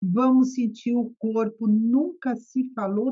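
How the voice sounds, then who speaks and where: Somewhat breathy and fairly high in pitch, a woman's voice is heard. She talks at a very slow pace. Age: 60s. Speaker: psychotherapist. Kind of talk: podcast interview.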